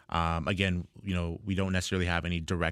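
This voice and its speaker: A very fast, monotone delivery with flat intonation, in a Toronto accent, on a very clean recording with a silent background. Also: man. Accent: Canadian (Toronto area). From Ontario, Canada (Ajax, east of Toronto). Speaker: tech startup founder. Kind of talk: interview.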